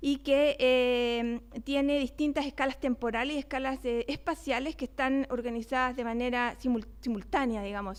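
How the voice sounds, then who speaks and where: A woman with a Chilean accent speaks at a high pitch with hardly any pauses. Her intonation is fairly even. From Chile (Valparaíso). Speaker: neuroscience researcher, invited speaker. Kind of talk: lecture. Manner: fast.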